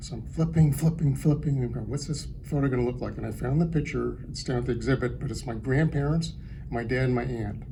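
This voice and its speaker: A man mumbles at a very fast pace. Audible room echo and noticeable background noise fill the recording. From San Francisco Bay Area, California. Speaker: artist. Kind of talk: panel talk. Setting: gallery panel with audience. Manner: mumbling.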